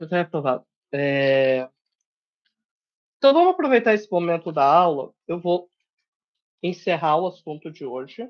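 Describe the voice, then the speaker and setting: A man with a high pitch and lively intonation at a moderate pace, with long, frequent pauses and big swings in loudness. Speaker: programming workshop teacher. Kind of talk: online lecture.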